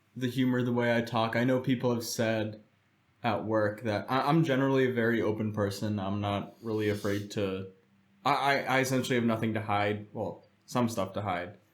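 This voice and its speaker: In a room with audible echo, a medium-pitched man with an American accent talks at a moderate pace with fairly even intonation. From United States, Czech-Polish family. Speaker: guest. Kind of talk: casual chat.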